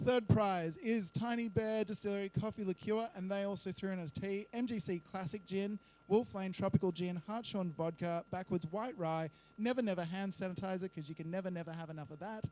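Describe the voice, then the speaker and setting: In an Australian accent, a man with a high pitch and a dark, mellow tone talks at a fairly quick pace. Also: ordinary pitch variation. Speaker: bar owner and event organiser. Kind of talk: live event announcement.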